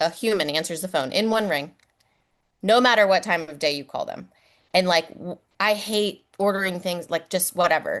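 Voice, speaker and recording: In a Philadelphia accent, a woman talks at medium pitch and a moderate pace with ordinary pitch variation. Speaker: physical therapist, podcast co-host. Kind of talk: casual chat. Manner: animated.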